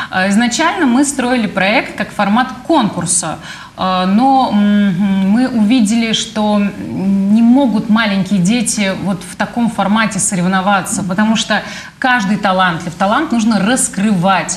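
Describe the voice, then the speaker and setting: The pace is very slow. Audible room echo surrounds the voice. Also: woman, ordinary pitch variation. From Samara, Russia. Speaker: organization president. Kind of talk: studio interview. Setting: studio. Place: studio. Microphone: lapel.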